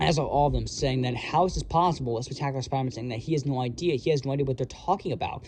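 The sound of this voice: Pitch moves in an ordinary way through this unforced reading voice.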